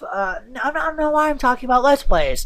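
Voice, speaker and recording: Her voice moves in very wide pitch swings as the woman speaks. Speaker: let's play gamer. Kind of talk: game commentary. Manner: rambling, halting with many fillers.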